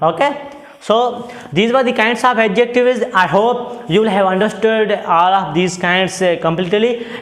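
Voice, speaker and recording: Delivered at a moderate pace with very even loudness and ordinary pitch variation, the speech has noticeable background noise and audible room echo. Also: man, high pitch for a man. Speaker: English teacher. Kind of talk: lecture. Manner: hesitant, many fillers.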